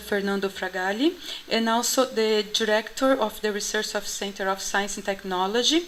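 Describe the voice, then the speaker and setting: A woman's fairly high voice with a Portuguese accent, ordinary pitch variation and a moderate pace. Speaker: conference organizer, assistant professor. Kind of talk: opening speech at conference. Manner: halting, many fillers.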